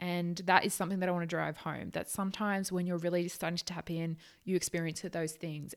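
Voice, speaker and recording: In a very clean recording with a silent background, a woman with an Australian accent speaks fairly low in pitch at a fairly quick pace, with fairly even intonation. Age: 20s. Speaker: psychic channel, podcast host. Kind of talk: casual monologue. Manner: fast.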